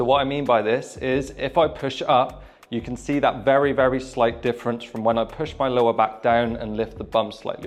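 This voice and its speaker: The speaker has a British accent and an energetic tone, with ordinary pitch variation at a moderate pace. Music plays in the background. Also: man. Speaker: personal trainer. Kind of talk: fitness tutorial. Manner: energetic, informal.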